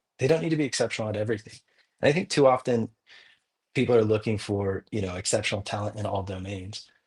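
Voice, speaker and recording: In a very clean recording with a silent background, a man talks at a very fast pace in a fairly low pitch with ordinary pitch variation. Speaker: crypto project co-founder. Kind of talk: podcast interview. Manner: loud; animated.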